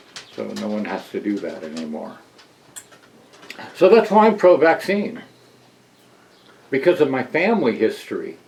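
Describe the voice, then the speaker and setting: A man talks with long, frequent pauses and big swings in loudness. Noticeable background noise runs under his voice. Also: moderate pace. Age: 60s. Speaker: interviewee sharing family history. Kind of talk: testimony. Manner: halting.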